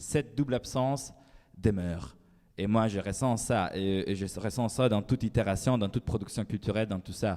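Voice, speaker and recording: Fairly low male voice with a dark, mellow tone, ordinary pitch variation and a moderate pace. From Italy. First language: Italian (speaking French). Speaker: writer. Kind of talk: panel discussion. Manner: halting.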